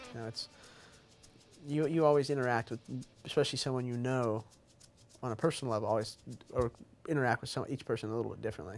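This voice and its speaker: Over music in the background, a man talks at a very fast pace yet leaves long, frequent pauses. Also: medium pitch for a man, ordinary pitch variation. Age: 20s. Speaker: professional MMA fighter. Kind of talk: interview. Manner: casual, repetitive stammering.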